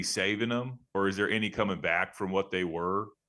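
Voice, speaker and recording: A man talks at a moderate pace with a Texan accent. The background is quiet. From Texas. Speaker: podcast host. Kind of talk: casual interview chat.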